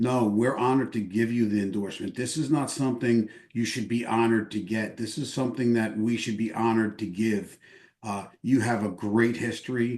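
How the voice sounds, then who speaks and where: Over a quiet background, a man speaks at a fairly quick pace. His pitch is medium and his intonation fairly even. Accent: New York. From New York. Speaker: veterans group leader, army veteran. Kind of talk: endorsement interview. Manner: fast.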